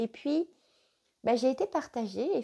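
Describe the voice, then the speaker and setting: Over a quiet background, a woman with a dark, mellow tone talks at a fairly slow pace with ordinary pitch variation. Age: 50s. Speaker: spiritual life coach. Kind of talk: live stream talk. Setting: live video stream. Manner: hesitant, many fillers.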